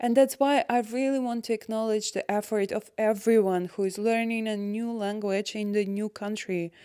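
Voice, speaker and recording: Here a woman's fairly high voice keeps a moderate pace with hardly any pauses. Her intonation is fairly even. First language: not English, not German. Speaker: expat vlogger. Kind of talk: personal vlog monologue.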